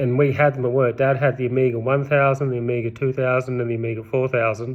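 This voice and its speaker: With monotone, flat intonation, a man speaks at a fairly quick pace in an Australian accent. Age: 30s. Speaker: vlogger. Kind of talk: casual monologue. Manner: rambling, self-correcting.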